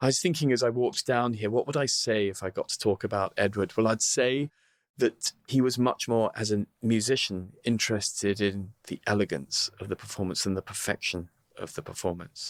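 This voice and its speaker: A man with a southern English accent speaks at a moderate pace and medium pitch with ordinary variation. The recording is very clean, dry and close, with no echo and a silent background. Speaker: opera tenor. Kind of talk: interview answer. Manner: witty, candid.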